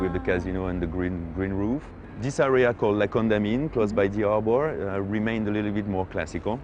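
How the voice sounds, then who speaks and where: Fairly quick, fairly low speech from a man with a French accent and ordinary pitch variation, over music in the background. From Monaco. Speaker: local guide, Monegasque. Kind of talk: interview answer.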